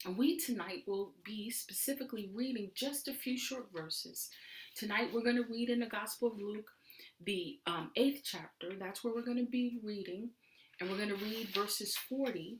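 The voice is somewhat breathy, with ordinary pitch variation. It moves at a moderate pace. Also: woman. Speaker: Bible study teacher. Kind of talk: sermon. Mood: warm, reverent.

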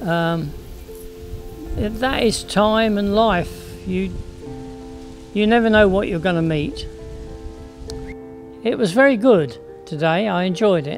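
A man talks at a high pitch and a very slow pace, with ordinary pitch variation and long, frequent pauses. Clear music plays in the background, and the sound is dry with no echo. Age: 80s+. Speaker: heritage volunteer, statue cleaner. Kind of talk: interview answer. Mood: warm, content, reflective. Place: garden.

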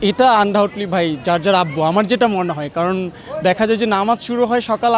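Amid noticeable background noise, a man speaks in a high pitch with ordinary pitch variation. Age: 20s. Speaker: shopper interviewed in street vox pop. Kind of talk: street interview.

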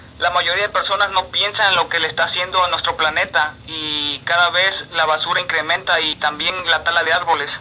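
A high-pitched man's voice, monotone and flat, very even in loudness, at a fairly quick pace over light background noise. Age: young. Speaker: radio announcer. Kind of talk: radio show sign-off. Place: studio. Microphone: studio mic.

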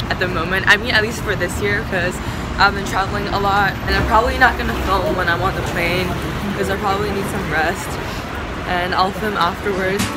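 A woman speaks at a fairly quick pace over loud background noise. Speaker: student athlete vlogger. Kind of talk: casual vlog chat. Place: street. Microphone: phone near.

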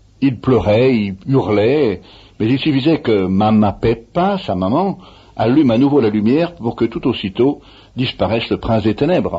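This man's voice sits at a medium pitch and is somewhat breathy. His intonation is lively, while his loudness stays very even. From France, Savoie (Annecy). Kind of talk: interview. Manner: halting.

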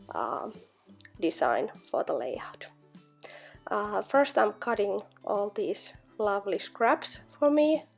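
Long, frequent pauses break up a woman's very slow speech while music plays in the background. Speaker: scrapbooking crafter. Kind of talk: tutorial. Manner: halting.

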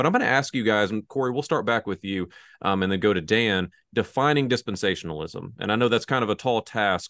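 A man's fairly low voice at a very fast pace, lively in intonation, against a quiet background. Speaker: podcast host; discussion host. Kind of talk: interview discussion. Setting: video call. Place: office.

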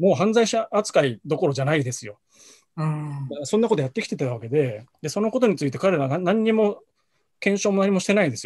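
At a fairly quick pace, a man with a high pitch makes very wide pitch swings over a quiet background. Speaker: freelance journalist. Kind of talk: video discussion. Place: home room. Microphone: video call.

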